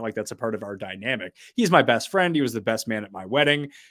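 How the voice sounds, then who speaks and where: In an American accent, a man talks at a very fast pace on a very clean recording with a silent background. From US, Washington DC area. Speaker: sports podcaster and writer. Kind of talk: interview conversation. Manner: unusual pauses and inflection.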